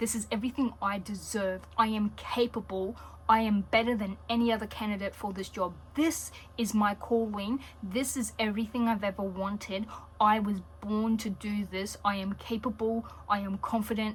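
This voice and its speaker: A woman with an Australian accent sounds somewhat breathy, with a fairly high pitch and monotone, flat intonation. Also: moderate pace. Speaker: tarot reader. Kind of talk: tarot reading video. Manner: casual, with frequent fillers.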